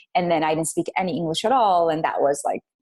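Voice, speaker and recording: In a very clean recording with a silent background, a woman with an Arabic accent talks at a fairly low pitch with ordinary pitch variation. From Iraq, Baghdad; moved to the US at twelve. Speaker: business leader. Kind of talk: interview. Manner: many fillers and restarts.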